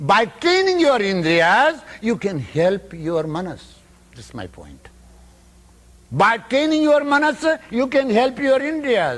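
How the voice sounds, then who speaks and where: A man with an Indian accent speaks at a very slow pace in an extremely high pitch. His pitch swings very widely, and his loudness rises and falls in big swings. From Northern India. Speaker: yogi, spiritual teacher. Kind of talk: spiritual lecture.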